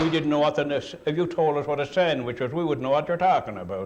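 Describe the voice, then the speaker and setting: With a Cape Breton accent, a man talks using ordinary pitch variation. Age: 70s. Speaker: retired coal miner. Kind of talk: oral history interview. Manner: animated.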